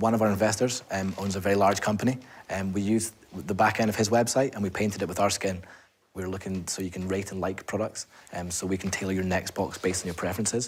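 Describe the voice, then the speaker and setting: A man with a Scottish accent talks at a very fast pace. His fairly low voice keeps fairly even intonation. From Scotland, Edinburgh. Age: 20s. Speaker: entrepreneur. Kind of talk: sales pitch; answering questions from investors.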